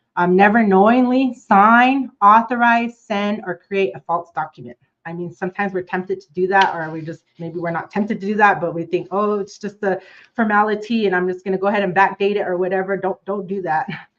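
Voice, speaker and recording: A woman speaks at a fairly quick pace with hardly any pauses, her medium pitch showing ordinary variation. Her loudness swings widely. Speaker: prosecutor. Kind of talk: presentation. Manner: fast.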